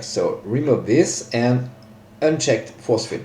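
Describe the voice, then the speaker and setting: With a non-native accent, the speaker talks at a fairly slow pace with lively intonation, amid noticeable background noise and audible room echo. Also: man. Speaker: software tutorial maker. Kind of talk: tutorial. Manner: hesitant, many fillers.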